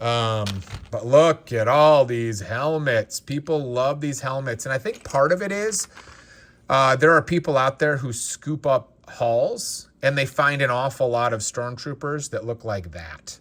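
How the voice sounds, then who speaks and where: In a plain, everyday voice, a man with a fairly high pitch speaks fairly slowly with lively intonation. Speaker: Lego reseller and collector YouTuber. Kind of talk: casual unboxing commentary.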